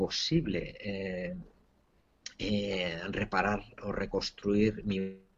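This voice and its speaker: A man's fairly low-pitched voice. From Spain. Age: 40s. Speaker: entrepreneur and author. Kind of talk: interview testimony. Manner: halting, with repeated words.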